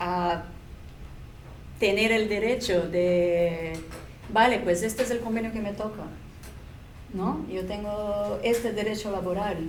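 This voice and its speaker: Amid noticeable background noise and audible room echo, a woman with a non-native accent speaks fairly slowly at a fairly high pitch, with monotone, flat intonation. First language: not Spanish (speaking Spanish). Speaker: restaurant waitress, panelist. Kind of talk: round-table discussion. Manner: halting.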